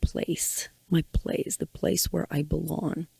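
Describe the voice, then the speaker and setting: A woman speaks in a Ukrainian accent. The sound is dry and close, with no echo. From Ukraine. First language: Ukrainian or Russian. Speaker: podcast host. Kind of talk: personal monologue.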